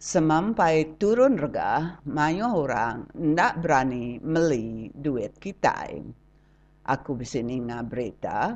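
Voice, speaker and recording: Over a quiet background, a woman talks at a very slow pace in a very deep, low voice with very wide pitch swings. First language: Iban (speaking Malay). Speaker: radio commentator. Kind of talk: scripted commentary.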